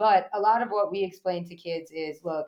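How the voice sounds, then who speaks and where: Speaking with an American accent, a woman uses a normal speaking voice with fairly even intonation at a moderate pace. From US Northeast, eastern Long Island, New York. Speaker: athletic trainer and youth sports director. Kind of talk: casual interview.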